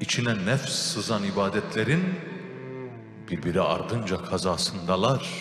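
Over music in the background, a man speaks with lively intonation in a fairly low pitch. His pace is fairly slow. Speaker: radio/TV program host. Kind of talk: poetry reading. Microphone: handheld.

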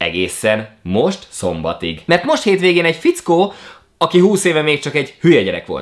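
Against a quiet background, a man speaks in an animated tone at a moderate pace. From Hungary. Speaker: YouTuber. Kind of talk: vlog monologue. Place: home room.

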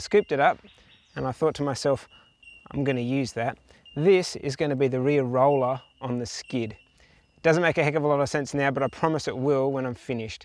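A man's fairly quick delivery with fairly even intonation, in a dry sound with no echo. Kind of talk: casual vlog chat. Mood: relaxed, self-deprecating. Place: open country.

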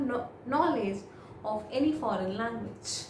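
A woman with an Indian accent speaks in a high pitch with ordinary pitch variation, with audible room echo and light background noise. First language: Hindi. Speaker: IELTS speaking tutor. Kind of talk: model exam answers, tutorial. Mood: calm, friendly. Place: home room.

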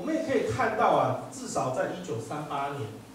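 There is audible room echo as a man speaks. Light background noise sits behind him. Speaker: law professor. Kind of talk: lecture. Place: hall. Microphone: pa.

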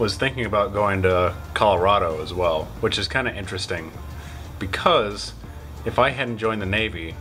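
Faint music plays in the background. A man with a very deep, low voice talks at a moderate pace. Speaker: vlogger. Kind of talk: casual vlog chat. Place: home room. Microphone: phone near.

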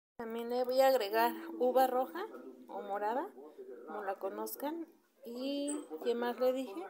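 The speaker uses ordinary pitch variation over noticeable background noise. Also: woman. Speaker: home cook vlogger. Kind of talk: casual vlog chat. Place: home room. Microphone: phone near.

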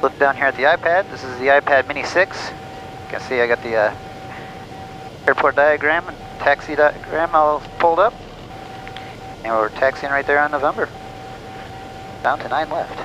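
A man talks at a moderate pace with long, frequent pauses. The sound is dry with no echo, and there is noticeable background noise. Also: ordinary pitch variation. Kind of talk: casual vlog chat. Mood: upbeat, relaxed. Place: plane. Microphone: headset.

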